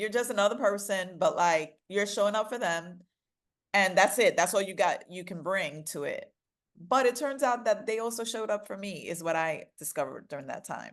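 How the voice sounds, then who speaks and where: With a New York accent, a woman speaks at a moderate pace in a medium pitch, her tone animated, her intonation lively and her loudness swinging widely over a quiet background. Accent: New York American. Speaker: DEI consultant and author. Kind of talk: interview.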